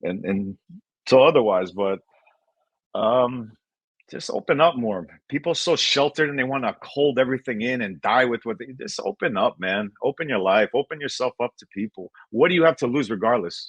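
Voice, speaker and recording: A man speaks at a moderate pace in a medium pitch, his intonation lively. The sound is dry and close, with no echo. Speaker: breakdancer. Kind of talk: interview. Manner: loud.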